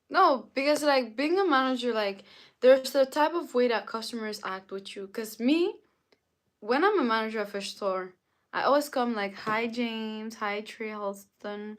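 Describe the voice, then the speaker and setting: With a French accent, a woman speaks at a moderate pace in an animated tone, her fairly high voice showing ordinary pitch variation on a very clean recording with a silent background. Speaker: livestreamer. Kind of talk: casual chat. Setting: livestream.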